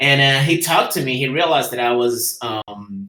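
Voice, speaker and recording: A man with a Spanish accent, medium pitch, lively intonation and a moderate pace. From Guatemala. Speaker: entrepreneur and engineer. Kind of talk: presentation. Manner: halting, many fillers.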